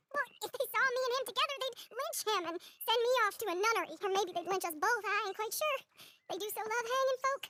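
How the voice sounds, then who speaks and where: In a put-on character voice, a woman talks at a very fast pace with lively intonation and an extremely high, squeaky pitch. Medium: video game. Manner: emotional, earnest.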